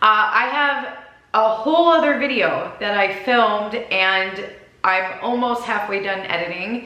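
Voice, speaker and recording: With a strong Minnesota accent and lively intonation, a woman talks at a fairly slow pace amid audible room echo and noticeable background noise. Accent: deep Minnesota. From Minnesota, US. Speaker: lifestyle vlogger. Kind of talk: casual chat. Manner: chatty, talkative.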